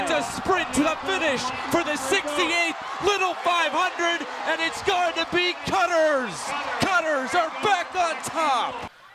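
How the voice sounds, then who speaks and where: Over noticeable background noise, a man speaks in a raised, projected voice at an extremely high pitch. His pace is fairly slow and his intonation fairly even. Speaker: sports play-by-play announcer. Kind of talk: soccer and bike race commentary.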